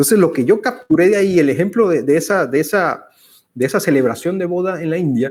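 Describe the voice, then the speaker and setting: A man with a high pitch speaks at a very fast pace with lively intonation, captured in a very clean recording with a silent background. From Venezuela. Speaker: conversation series host. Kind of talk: casual conversation. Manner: halting, with fillers.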